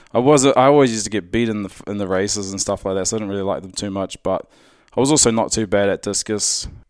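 A man's fairly low voice in a New Zealand accent, very fast, with ordinary pitch variation and big swings in loudness, on a very clean recording with a silent background. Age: 30s. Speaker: strongman athlete. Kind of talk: casual interview.

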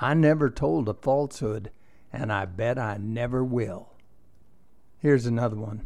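A man talks at a fairly slow pace in a warm tone. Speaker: storyteller. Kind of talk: tall tale storytelling, told as a campfire yarn. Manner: animated, playful, with chuckles; warm, conversational, grandfatherly.

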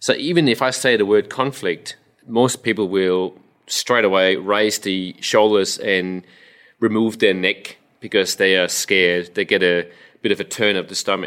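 The man's pitch is fairly low and his pace moderate. He speaks with a Danish accent. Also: ordinary pitch variation. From Denmark. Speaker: resilience coach, ex-soldier. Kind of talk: casual interview chat.

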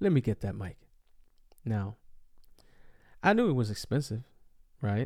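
In a very clean recording with a silent background, a man with medium pitch and lively intonation sounds somewhat breathy, speaking at a moderate pace with long, frequent pauses. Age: 40s. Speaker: podcast host. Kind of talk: casual monologue. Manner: casual, filler-heavy.

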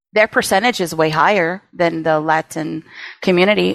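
A woman's fairly low voice with vocal fry and an American accent, at a moderate pace, in a dry, close sound with no echo. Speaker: actor and writer. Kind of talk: casual interview.

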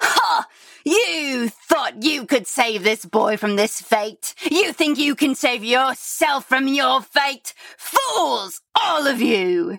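A put-on character voice shouts in a high pitch with a menacing tone. The pace is very slow. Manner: shouting, menacing, gloating.

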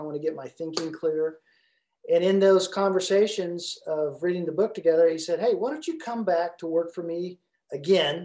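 At a moderate pace, a man with a high pitch speaks in a dark, mellow tone with fairly even intonation. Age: 60s. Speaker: leadership coach and former pastor. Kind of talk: casual interview.

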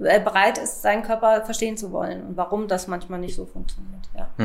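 A woman speaks at a moderate pace with a fairly high pitch. Her intonation is flat and monotone. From Lower Saxony, Hanover area. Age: 40s. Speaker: pharmaceutical sales rep and coaching client. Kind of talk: interview testimony.

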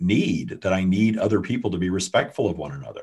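Against a quiet background, a man with a somewhat breathy, fairly low voice speaks at a fairly quick pace. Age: 50s. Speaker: spiritual channeler and author. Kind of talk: interview.

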